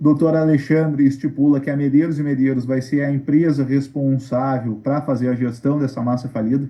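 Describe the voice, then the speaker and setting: A man with a fairly high pitch talks in a flat monotone, hardly pausing at all. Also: moderate pace. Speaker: lawyer. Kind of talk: online Q&A briefing to creditors.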